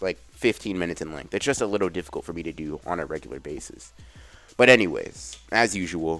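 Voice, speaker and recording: A man with a very deep, low pitch and vocal fry talks at a very fast pace, his intonation lively and his loudness swinging widely. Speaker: anime youtuber. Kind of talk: casual video outro. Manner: casual with fillers.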